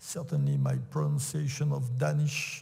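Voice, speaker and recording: A man speaks very slowly in a French accent at a fairly high pitch. Audible room echo surrounds his voice. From France. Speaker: sports executive. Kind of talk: conference talk. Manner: halting.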